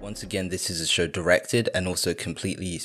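A man's very deep, low voice with fairly even intonation, music in the background. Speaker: podcaster. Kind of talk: commentary. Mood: calm, thoughtful. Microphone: studio mic.

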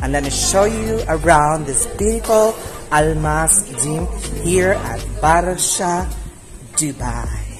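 A man talks while clear music plays behind him. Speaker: vlogger. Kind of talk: casual vlog chat. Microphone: phone near.

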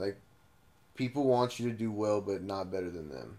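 This man speaks with an American accent. His pace is moderate and his pitch variation ordinary. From Blythe, California desert; California. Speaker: podcast host. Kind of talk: casual chat. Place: home room. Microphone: camera far.

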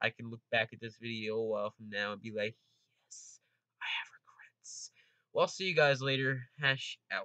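A man's bright, sharp voice at a moderate pace, with ordinary pitch variation and big swings in loudness, in dry sound with no echo and a quiet background. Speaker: gaming video creator. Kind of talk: casual vlog chat. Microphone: studio mic.

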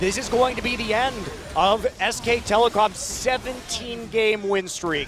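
Music plays in the background as a man speaks very slowly in a high-pitched voice. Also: ordinary pitch variation. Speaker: esports commentator. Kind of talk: live esports colour commentary. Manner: animated, reactive exclamations mid-sentence.

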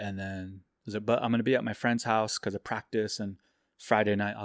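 A man with an American accent talks at a fairly quick pace in a fairly low pitch, recorded with a dry, close sound and no echo. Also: very clean recording, silent background. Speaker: photographer. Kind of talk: testimony. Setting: in host's home. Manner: halting, many fillers.

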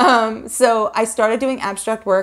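A woman with an American accent at a medium pitch, over a quiet background. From New York. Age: 40s. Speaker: YouTube painting artist; painting channel host. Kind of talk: Q&A video monologue. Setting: home video recording. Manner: fast talker; chatty, laughs often. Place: home room.

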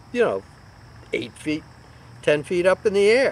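A man's high-pitched voice at a moderate pace, dry with no echo, over light background noise. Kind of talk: casual storytelling vlog. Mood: amused, relaxed. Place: garden. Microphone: phone near.

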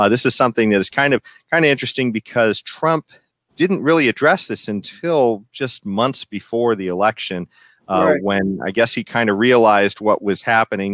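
In a plain, everyday voice, a man speaks at a moderate pace with a fairly low pitch and ordinary pitch variation, over a quiet background with a dry sound and no echo. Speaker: podcast host. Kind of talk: political commentary discussion. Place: home room. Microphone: headset.

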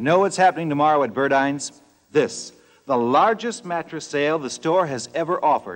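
This man talks. His pace is moderate. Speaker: commercial announcer.

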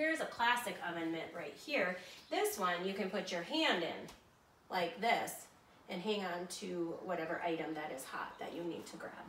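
Light background noise and audible room echo around a female speaker. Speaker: home cook demonstrating kitchen items. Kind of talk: tutorial. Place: kitchen. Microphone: camera far.

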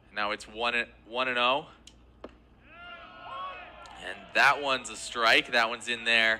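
Over noticeable background noise, a man speaks at a very slow pace with big swings in loudness. His pitch is medium, with ordinary pitch variation. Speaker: play-by-play broadcaster. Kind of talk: live baseball play-by-play call.

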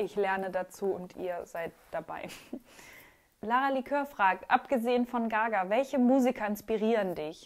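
The woman has a fairly high pitch and ordinary pitch variation. Her pace is moderate. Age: 20s. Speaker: YouTuber and art student; YouTuber. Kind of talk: casual Q&A vlog. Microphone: new microphone, sound problems in places.

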